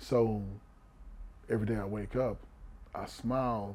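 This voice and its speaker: A man at a fairly low pitch with an American accent and monotone, flat intonation, with audible room echo and music in the background. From Houston, Texas. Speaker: former pro football player and coach. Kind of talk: interview conversation.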